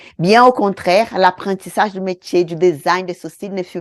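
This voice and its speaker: A woman with a Brazilian accent in a dry, close sound with no echo. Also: quiet background. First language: Portuguese (speaking French). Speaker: beauty trainer, eyebrow design teacher. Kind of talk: online course lesson.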